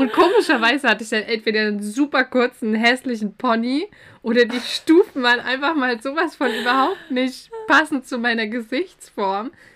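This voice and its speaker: With ordinary pitch variation, this female speaker uses a high pitch. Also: moderate pace. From Baden. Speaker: podcast co-host. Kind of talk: casual chat.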